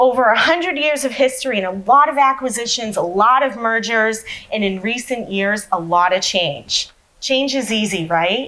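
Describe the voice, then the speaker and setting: An animated woman with an American accent speaks at a moderate pace in a fairly high pitch with lively intonation. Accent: Massachusetts (Boston) accent, comes and goes. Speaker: sales enablement professional, conference speaker. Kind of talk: conference talk.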